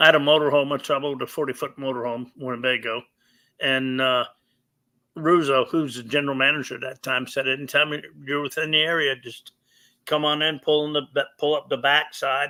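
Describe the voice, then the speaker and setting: A man with a fairly high pitch talks at a fairly quick pace in monotone, flat intonation. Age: 70s. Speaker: retired professional bowler. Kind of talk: casual interview.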